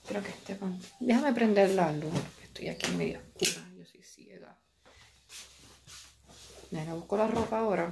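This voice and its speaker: A woman with a Puerto Rican accent speaks with long, frequent pauses and big swings in loudness over noticeable background noise. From Puerto Rico. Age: 20s. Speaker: physical therapy assistant and massage therapist. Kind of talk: casual vlog talk to camera. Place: home room. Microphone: phone near.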